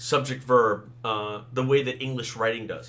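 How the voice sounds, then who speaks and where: Against noticeable background noise, a man with a medium pitch talks at a moderate pace. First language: Thai and Tamil. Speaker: fantasy author. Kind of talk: casual talk, solo podcast. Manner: conversational, with fillers.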